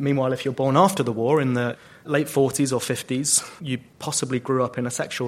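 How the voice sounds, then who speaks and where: Speaking at a fairly quick clip, a man with a medium-pitched voice delivers his words in a flat monotone. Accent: British. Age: 30s. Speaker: charity founder. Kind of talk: panel discussion. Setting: stage with audience.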